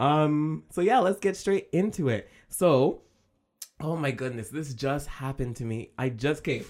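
An animated tone at a fairly slow pace, in a very clean recording with a silent background. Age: 20s. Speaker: YouTuber and podcast host. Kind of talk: casual solo podcast monologue.

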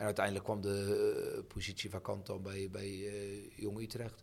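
The man's pitch is fairly low and his voice somewhat breathy. His intonation stays flat and monotone. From Netherlands, Voorne-Putten (South Holland). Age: 50s. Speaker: football coach. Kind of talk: casual interview. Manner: halting, many repetitions and fillers.

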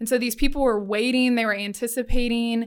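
A woman with an ordinary speaking voice and a fairly high pitch talks at a moderate pace. Her intonation is fairly even, and the recording is very clean with a silent background. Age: 20s. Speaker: college student ministry worker. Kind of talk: casual chat. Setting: studio, in person.

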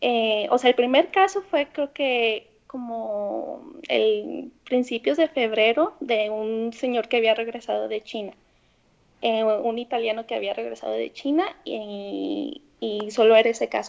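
This woman has a plain, everyday voice, pitched fairly high, with ordinary pitch variation and a fairly slow pace. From Mexico, Guadalajara. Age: 20s. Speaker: former student abroad. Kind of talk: interview.

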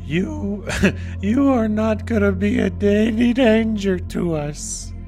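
A put-on character voice speaks at a very slow pace over clear music in the background. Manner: cold, ominous.

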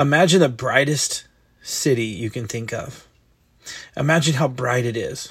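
Somewhat breathy and fairly high-pitched, a man speaks at a moderate pace with ordinary pitch variation and long, frequent pauses. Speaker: devotional host. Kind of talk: devotional talk with prayer. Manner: informal, conversational.

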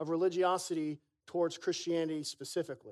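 Fairly quick in pace, a man speaks with an American accent. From Florida Panhandle, then Philadelphia. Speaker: young adult pastor. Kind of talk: sermon. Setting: church.

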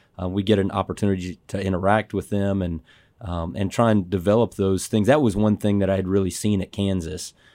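In a dry, close recording that is very clean with a silent background, a man with an American accent and a dark, mellow tone talks at a fairly quick pace with fairly even intonation. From Dallas, Texas. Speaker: college basketball head coach. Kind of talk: casual chat.

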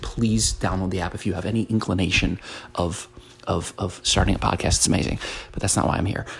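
Soft-spoken delivery at a fairly quick pace. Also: man. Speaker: podcast host. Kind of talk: motivational monologue. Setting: at home, early morning. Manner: soft-spoken, talking quietly.

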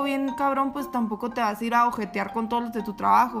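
A woman's fairly high voice at a very fast pace, her intonation fairly even, with noticeable background noise. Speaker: podcast co-host. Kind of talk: casual chat.

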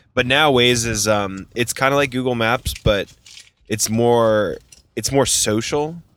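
A man with an American accent speaks in an ordinary speaking voice, with fairly even intonation and at a fairly slow pace. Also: medium pitch for a man. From northern US. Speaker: podcast host, wedding photographer. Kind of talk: casual chat. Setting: in a car.

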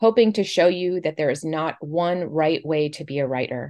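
A woman with an American accent speaks at a moderate pace in a plain, everyday voice. Her intonation is lively, and the background is quiet. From Florida, St. Petersburg. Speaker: podcast host, literary arts director. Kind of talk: scripted intro; casual interview.

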